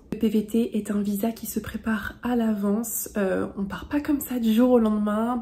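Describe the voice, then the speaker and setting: A woman with a fairly high pitch and a dark, mellow, somewhat breathy tone speaks at a fairly slow pace with fairly even intonation. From France. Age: 20s. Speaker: travel vlogger. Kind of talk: vlog tutorial. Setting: facecam video.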